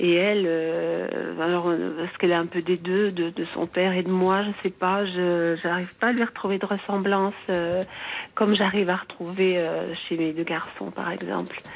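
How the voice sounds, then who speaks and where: At a fairly slow pace, a woman speaks in a fairly low pitch with monotone, flat intonation. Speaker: caller. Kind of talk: personal testimony. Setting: phone call.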